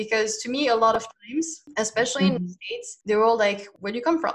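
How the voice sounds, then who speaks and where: Fairly quick and fairly high in pitch, a woman talks in an unremarkable speaking voice. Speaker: podcast host and language teacher. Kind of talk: casual chat.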